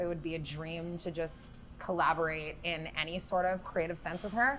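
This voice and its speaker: There is noticeable background noise behind a woman's voice. She has a fairly low pitch, a moderate pace and fairly even intonation. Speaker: singer-songwriter. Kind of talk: interview. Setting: music festival venue.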